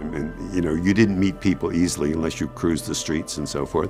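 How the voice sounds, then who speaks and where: Clear music plays behind a man speaking at a moderate pace. His pitch varies in an ordinary way. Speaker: retired teacher. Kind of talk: documentary interview answer. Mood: reflective, personal memories. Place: studio.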